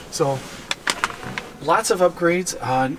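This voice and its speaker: A man speaks in a high voice. Noticeable background noise can be heard. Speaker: car reviewer / vlogger. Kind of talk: casual walkaround car review. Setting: car dealership showroom. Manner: quiet, hushed; enthusiastic.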